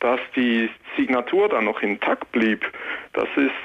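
A man with a medium pitch talks at a fairly slow pace while noticeable background noise plays behind him. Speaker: security researcher. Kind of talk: phone-in explanation. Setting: phone call.

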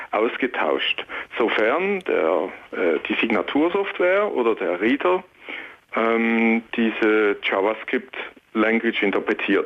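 Over noticeable background noise, a man of medium pitch talks at a fairly slow pace with lively intonation. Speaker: security researcher. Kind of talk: phone-in explanation. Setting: phone call.

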